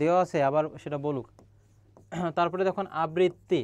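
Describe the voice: A man speaks at a moderate pace with a slightly mellow tone, a fairly high pitch and fairly even intonation.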